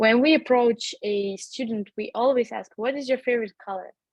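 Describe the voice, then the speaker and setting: With a non-native accent, a woman speaks at a fairly high pitch with fairly even intonation. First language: not English. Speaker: language school founder and tutor. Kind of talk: webinar interview. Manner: halting, many fillers and repetitions.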